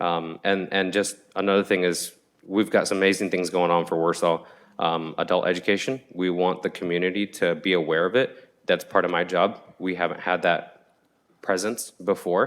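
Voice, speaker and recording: The recording is very clean with a silent background. A man with a very deep, low pitch speaks at a moderate pace in a monotone, flat way. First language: not English. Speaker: adult education program staff. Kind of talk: public meeting presentation. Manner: hesitant, many fillers and repeats.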